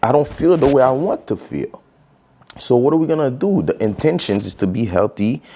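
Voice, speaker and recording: A man with a Haitian accent and very wide pitch swings. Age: 30s. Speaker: podcast host. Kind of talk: casual solo podcast monologue. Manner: casual, filler-heavy.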